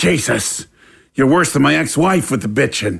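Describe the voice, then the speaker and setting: Putting on a raspy character voice, a man swings his medium pitch very widely while keeping a moderate pace. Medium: audio drama. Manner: irritable, crude.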